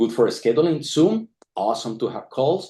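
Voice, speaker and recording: A man with a non-native accent speaks in a fairly high pitch with very wide pitch swings. His tone is dark and mellow, and the background is quiet. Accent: foreign. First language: not English. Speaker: tech founder, data scientist. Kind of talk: product launch presentation. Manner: halting, repeats words.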